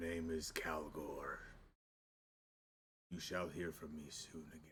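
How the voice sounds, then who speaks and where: A man's put-on character voice, raspy and very deep and low, at a fairly slow pace. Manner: ominous.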